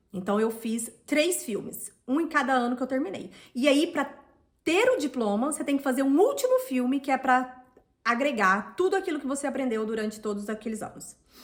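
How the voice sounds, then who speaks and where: Speaking at a moderate pace with a Brazilian accent, a woman uses a high voice and lively intonation. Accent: Brazilian Portuguese accent, kept on purpose. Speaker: vlogger. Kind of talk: personal vlog storytelling. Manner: casual, with filler words.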